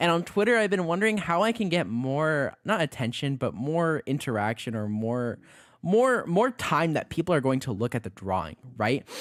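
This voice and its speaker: A fairly high-pitched man's voice with very wide pitch swings, at a moderate pace, on a very clean recording with a silent background. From Mexican heritage. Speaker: vtuber artist streamer. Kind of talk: casual drawing livestream chat. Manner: casual, hesitant with fillers.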